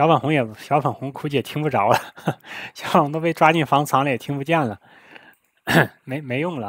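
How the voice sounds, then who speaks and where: Pitched fairly high with ordinary pitch variation, a man talks at a fairly quick pace, broken by long, frequent pauses. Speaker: livestream host. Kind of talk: casual chat.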